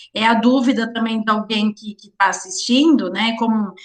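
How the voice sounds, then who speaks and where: Noticeable background noise around a woman speaking at a fairly high pitch. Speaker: teacher of occupational safety. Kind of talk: lecture.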